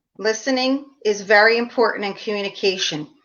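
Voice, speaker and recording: With a Philadelphia accent, a woman speaks at a fairly high pitch with ordinary pitch variation. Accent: Philadelphia American. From US Northeast, Philadelphia. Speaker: leadership trainer and professor. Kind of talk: interview.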